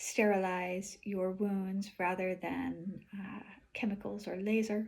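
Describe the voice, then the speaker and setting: A woman speaks somewhat breathily at a fairly slow pace. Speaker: polarity therapist and vlogger. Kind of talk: personal video diary. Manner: careful enunciation.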